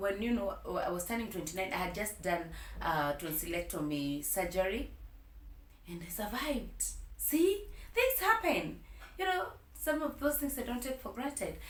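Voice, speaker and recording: Over noticeable background noise and audible room echo, a woman with a fairly high pitch swings her pitch very widely and leaves long, frequent pauses. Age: 30s. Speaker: vlogger. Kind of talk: personal storytime vlog. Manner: slow; hesitant, many fillers.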